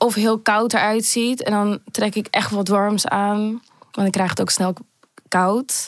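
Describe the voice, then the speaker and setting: Her intonation monotone and flat and her loudness very even, a woman speaks at a very slow pace. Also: medium pitch for a woman. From Amsterdam, early childhood in Manchester. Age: 20s. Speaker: podcast guest sharing personal story. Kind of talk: personal testimony.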